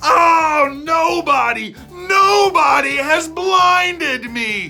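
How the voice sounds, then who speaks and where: Faint music plays in the background. A put-on character voice speaks at a very slow pace. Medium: read story.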